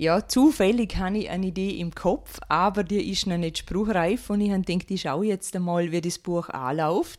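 Hardly pausing, a woman speaks in a plain, everyday voice at a moderate pace and medium pitch with ordinary pitch variation. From Austria, Vorarlberg. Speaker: author and naturopath. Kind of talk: radio interview.

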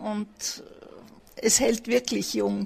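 A woman's fairly high voice at a very slow pace in a monotone, flat intonation. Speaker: retired teacher. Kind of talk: interview.

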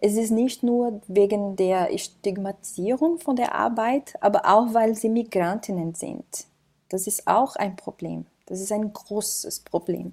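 In a Portuguese accent, a woman speaks at a very slow pace with a dark, mellow tone. Her pitch is fairly high and varies in an ordinary way. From Brazil. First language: Portuguese (speaking German). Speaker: migrant rights counselor. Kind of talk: interview.

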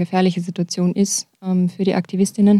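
Recorded very cleanly over a silent background with a dry, close sound and no echo, a woman speaks in a dark, mellow tone with monotone, flat intonation. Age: young. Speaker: climate activist. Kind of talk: radio interview. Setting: studio.

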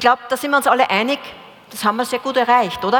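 A high-pitched woman's voice over noticeable background noise. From Upper Austria. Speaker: panel moderator. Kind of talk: moderated panel discussion.

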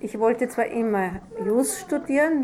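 Noticeable background noise sits beneath speech with lively intonation. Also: woman. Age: 60s. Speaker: retired judge. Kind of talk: interview with children.

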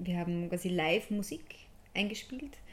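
Using ordinary pitch variation, a woman speaks at a fairly low pitch. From Upper Austria, Steyr area. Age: 20s. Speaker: music education student and performer. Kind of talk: radio interview.

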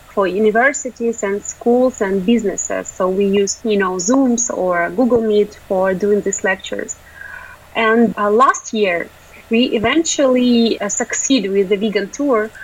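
A woman's fairly high voice at a fairly slow pace, with ordinary pitch variation and noticeable background noise. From Ukraine. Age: 20s. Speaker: animal rights activist. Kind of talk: interview.

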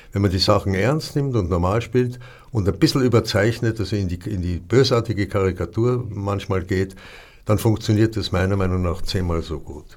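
On a very clean recording with a silent background, a man speaks at a moderate pace in a fairly low, somewhat breathy voice with ordinary pitch variation. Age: old. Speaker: theatre director. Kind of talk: casual chat. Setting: studio.

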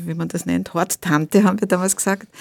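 This very clean recording has a silent background and a dry, close sound with no echo. A woman speaks at a fairly low pitch with vocal fry. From Russia-born, raised in Austria (Vienna). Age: old. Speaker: journalist, translator and writer. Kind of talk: radio interview. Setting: studio.

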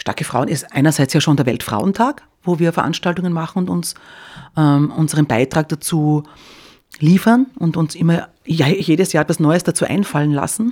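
Her voice very deep and low, a woman speaks in a dark, mellow tone. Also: ordinary pitch variation, moderate pace. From Styria, Austria. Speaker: cultural association organiser. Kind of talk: radio interview.

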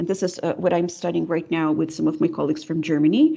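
With a Russian accent, a woman speaks in a dark, mellow tone at a fairly low pitch. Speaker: linguistics professor. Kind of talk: interview. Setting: video call. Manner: hesitant, many fillers.

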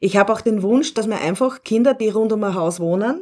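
A woman with a medium-pitched, unremarkable speaking voice talks at a moderate pace on a very clean recording with a silent background. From Upper Austria. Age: 40s. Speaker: teacher educator. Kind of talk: radio interview.

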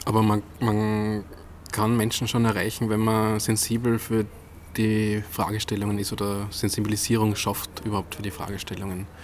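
The delivery is monotone and flat in intonation, at a moderate pace. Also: man. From Upper Austria, Innviertel. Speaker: architect, new head of an architecture forum. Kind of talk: interview. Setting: outdoors on a terrace.

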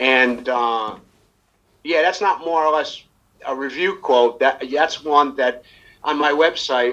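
Speaking at a very slow pace with an American accent, the voice has a bright, sharp tone and ordinary pitch variation. Long pauses come often. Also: man, fairly high pitch for a man. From New York. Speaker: jazz musician. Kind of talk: casual interview. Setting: video call.

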